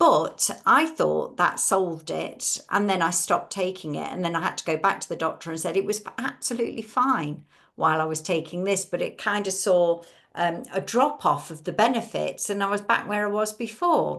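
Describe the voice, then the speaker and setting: Lively intonation in an English accent, at a moderate pace against a quiet background. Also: woman, medium pitch for a woman. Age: 60s. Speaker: webinar host. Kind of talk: casual chat.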